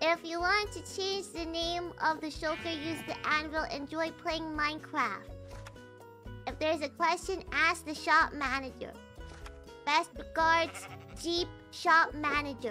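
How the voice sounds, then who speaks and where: A female-sounding, put-on character voice speaks at an extremely high pitch and a fairly slow pace. Clear music plays in the background. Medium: virtual streamer.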